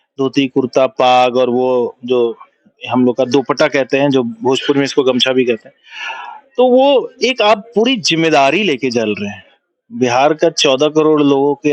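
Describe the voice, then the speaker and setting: Recorded with a dry, close sound and no echo, a man speaks in a Bihari accent at a medium pitch with ordinary pitch variation. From Bihar, India. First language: Bhojpuri (speaking Hindi). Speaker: film director and producer. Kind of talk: interview.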